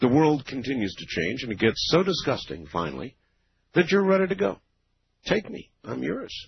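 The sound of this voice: A man's medium-pitched voice with a husky, rough edge, vocal fry and big pitch swings. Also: moderate pace.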